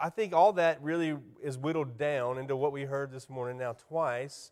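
The speaker talks at a fairly slow pace with a South Carolina accent. Pitch variation is ordinary. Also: man. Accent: Southern US (South Carolina). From US South, South Carolina. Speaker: church ministry specialist, guest preacher. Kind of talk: sermon. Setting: church.

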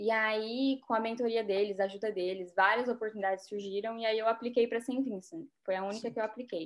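At a very fast pace, a woman speaks with hardly any pauses. Her pitch is fairly high and her intonation fairly even. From Brazil, Rondônia (North). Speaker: dentist. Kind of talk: interview.

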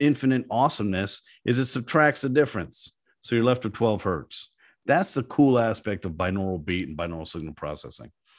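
The pitch of this man's voice swings very widely as he talks at a fairly quick pace. The background is quiet. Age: 50s. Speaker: company CEO. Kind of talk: casual interview.

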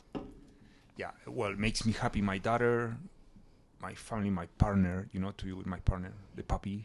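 At a moderate pace, a man with a Spanish accent speaks at a fairly low pitch with fairly even intonation. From Chile, raised in Mozambique and Ecuador. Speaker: DJ. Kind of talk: casual chat.

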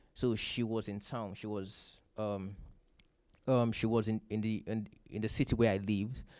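At a moderate pace, a man speaks with a fairly low pitch in a monotone, flat intonation. The recording is very clean, with a silent background. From Nigeria. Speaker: church member. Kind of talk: testimony. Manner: halting.

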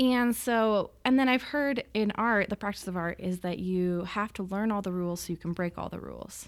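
A woman speaks with an American accent at a moderate pace. Her medium pitch, ordinary pitch variation and unremarkable speaking voice round it out. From Utah, Salt Lake City. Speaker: painter. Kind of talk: interview.

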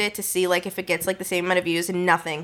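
Noticeable background noise accompanies a woman who speaks at a very fast pace. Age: 20s. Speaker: social media influencer. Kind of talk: casual chat.

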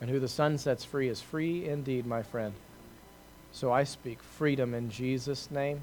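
Here a man talks at a fairly slow pace. His pitch is fairly high and his intonation fairly even. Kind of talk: fervent charismatic prayer over a congregation, eyes closed, hands raised. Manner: rising, impassioned, pleading, with repeated praise and thanks.

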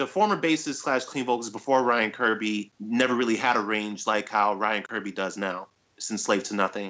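Here a man talks in an unremarkable speaking voice at medium pitch. His pace is moderate, with ordinary pitch variation. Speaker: podcast co-host. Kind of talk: casual chat about music news and reviews.

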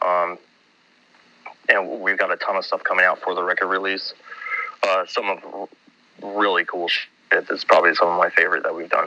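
Over noticeable background noise, a man with an American accent talks at a moderate pace with long, frequent pauses. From Minnesota, US. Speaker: metal band musician. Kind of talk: casual interview.

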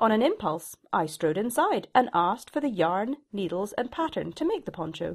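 A woman with a Shetland accent speaks at a moderate pace and fairly high pitch with very wide pitch swings. The recording is very clean with a silent background. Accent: Shetland Scottish. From Scotland, Shetland Islands. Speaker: knitwear designer. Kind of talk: reading aloud a personal essay.

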